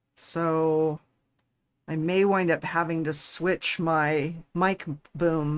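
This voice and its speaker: On a very clean recording with a silent background, a woman mumbles at a very slow pace in a very deep, low pitch with fairly even intonation. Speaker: livestreamer building a model kit. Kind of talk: casual livestream chat. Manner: mumbling.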